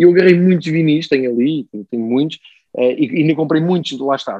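Someone talks at a very fast pace in a European Portuguese accent. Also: man. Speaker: football pundit and music journalist. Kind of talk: casual chat.

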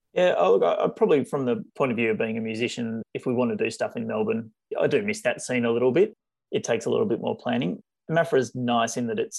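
A man speaks in an Australian accent. The background is quiet. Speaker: general practitioner. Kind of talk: interview.

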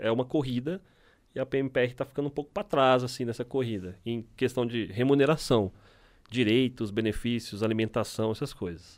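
Recorded very cleanly against a silent background, a man speaks in an ordinary speaking voice at medium pitch and a moderate pace, with ordinary pitch variation. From Minas Gerais, Brazil (Belo Horizonte). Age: 30s. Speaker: military police officer. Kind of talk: casual interview.

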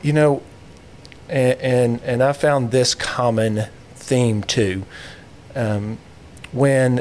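Speaking at a very slow pace, a man leaves long, frequent pauses. His medium pitch, fairly even intonation and very even loudness hold throughout. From Tennessee (Knoxville). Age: 40s. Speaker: mortgage company owner and endurance athlete. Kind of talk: interview conversation. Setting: studio.

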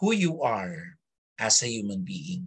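A fairly high-pitched man talking at a very slow pace. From Philippines, Filipino Chinese community. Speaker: theater director and academic. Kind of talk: interview. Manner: halting, many fillers.

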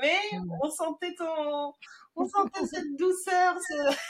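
A woman's voice with very wide pitch swings. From Madagascar then France. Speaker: podcast host. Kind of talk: casual interview.

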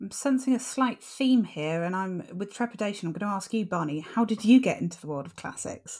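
On a very clean recording with a silent background, a somewhat breathy voice moves at a fairly quick pace with hardly any pauses, lively intonation and big swings in loudness. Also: woman, medium pitch for a woman. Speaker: podcast co-host. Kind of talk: casual chat.

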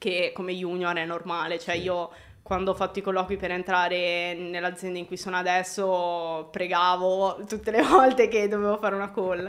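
In a medium-pitched voice, a woman talks at a moderate pace with monotone, flat intonation. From Milan area, Italy. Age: 20s. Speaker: video game lighting artist. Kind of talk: casual interview chat. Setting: live video stream.

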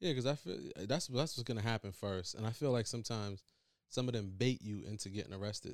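At a very fast pace, a man with a medium pitch and ordinary pitch variation speaks in a very clean recording with a silent background. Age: 30s. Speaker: podcast co-host. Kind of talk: casual chat.

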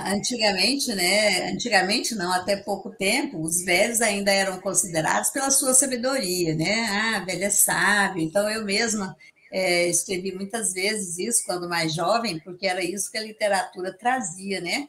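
A woman speaks at a medium pitch and a moderate pace, with ordinary pitch variation. Noticeable background noise runs behind her. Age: 60s. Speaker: psychologist. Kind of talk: interview.

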